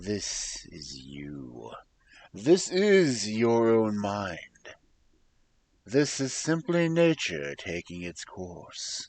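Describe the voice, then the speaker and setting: A man uses a put-on character voice at a fairly low pitch, with very wide pitch swings and big swings in loudness. He talks at a very slow pace with long, frequent pauses. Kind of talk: guided introspection narration. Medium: virtual streamer. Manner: measured, reassuring.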